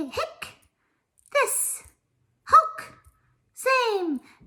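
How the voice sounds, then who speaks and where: A put-on character voice with an extremely high pitch. Its tone is playful. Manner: playful, silly.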